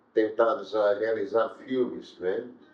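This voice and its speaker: Ordinary pitch variation runs through a man's speech, delivered at a very slow pace. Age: 70s. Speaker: filmmaker and advertising professional. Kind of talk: interview. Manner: hesitant, with fillers.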